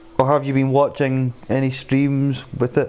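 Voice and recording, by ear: A man is speaking. His tone is slightly mellow.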